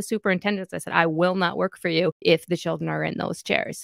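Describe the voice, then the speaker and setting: A woman's voice with vocal fry at a fairly quick pace, in a dry, close sound with no echo. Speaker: clinical psychologist and children's author. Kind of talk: interview.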